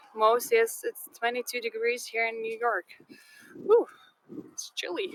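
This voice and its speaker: A woman with a Lithuanian accent at a fairly high pitch and fairly slow pace, with ordinary pitch variation and big swings in loudness. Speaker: live tour guide. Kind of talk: live-streamed walking tour with viewer chat. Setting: outdoors in sand dunes. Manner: halting, many fillers.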